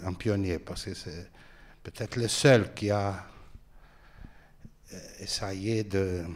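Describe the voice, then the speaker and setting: A man speaks very slowly with a Portuguese accent. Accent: Portuguese accent in French, limited French. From Brazil, Rio de Janeiro. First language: Portuguese (speaking French). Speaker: film director. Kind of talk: public Q&A talk. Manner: halting.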